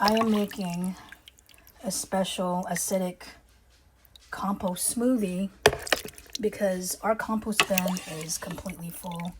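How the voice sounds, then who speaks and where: A woman's medium-pitched voice with a slight Filipino accent, a fairly slow pace and long, frequent pauses, over noticeable background noise. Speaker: urban homesteading vlogger. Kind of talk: casual vlog talk to camera. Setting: home kitchen.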